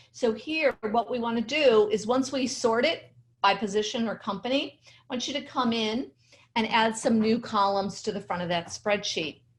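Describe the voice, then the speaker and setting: A woman speaks at a moderate pace in a normal speaking voice, pitched fairly high. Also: ordinary pitch variation. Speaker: LinkedIn strategy trainer. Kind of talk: webinar presentation. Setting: video webinar with screen share.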